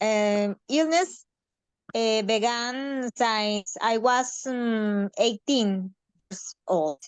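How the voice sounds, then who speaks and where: A woman with a Mexican accent speaks at a very slow pace in a fairly high voice with ordinary pitch variation. The sound is dry and close, with no echo. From Mexico. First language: Spanish. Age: 30s. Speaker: participant with anorexia. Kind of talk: personal testimony in a Q&A. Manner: halting with many fillers.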